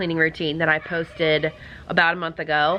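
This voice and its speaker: Noticeable noise fills the background. Over it, a woman talks at a moderate pace. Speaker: cleaning vlogger. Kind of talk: casual vlog talk.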